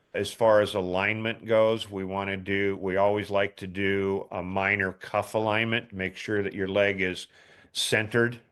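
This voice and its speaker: A man's fairly low voice at a moderate pace, flat and monotone, on a very clean recording with a silent background. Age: 60s. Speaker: ski boot fitter. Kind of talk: Q&A advice session.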